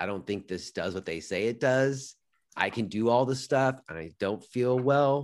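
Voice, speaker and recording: In a plain, everyday voice, a man speaks at a fairly slow pace with medium pitch and ordinary pitch variation, on a very clean recording with a silent background. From US West Coast, Los Angeles suburbs. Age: 40s. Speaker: yoga teacher and podcaster. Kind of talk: interview conversation.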